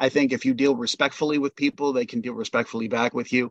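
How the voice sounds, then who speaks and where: A man with an American accent speaks at a very fast pace in a fairly high pitch. His pitch varies in an ordinary way against a quiet background. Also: dry, close sound with no echo. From New York. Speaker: radio co-host. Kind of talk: radio interview.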